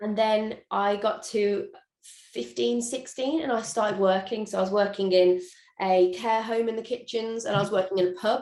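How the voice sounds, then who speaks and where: A fairly high-pitched woman with a Birmingham accent. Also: ordinary pitch variation, moderate pace. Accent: Birmingham (Brummie). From England, Birmingham. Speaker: chef and social media cook. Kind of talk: interview. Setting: video call.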